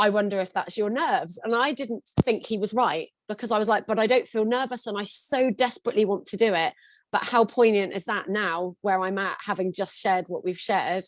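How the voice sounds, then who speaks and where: Heard on a very clean recording with a silent background, a woman has an ordinary speaking voice with a fairly high pitch, ordinary pitch variation, and a fairly quick pace. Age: 40s. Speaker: singer and singing teacher. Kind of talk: therapy session.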